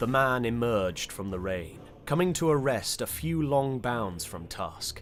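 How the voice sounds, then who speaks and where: A man of medium pitch speaks at a fairly slow pace with very wide pitch swings while music plays in the background. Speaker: audiobook narrator. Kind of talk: audiobook narration of fantasy fiction.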